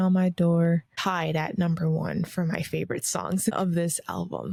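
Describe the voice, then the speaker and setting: The woman's voice comes across somewhat breathy. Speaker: podcast host. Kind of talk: casual solo review. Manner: casual, with many fillers.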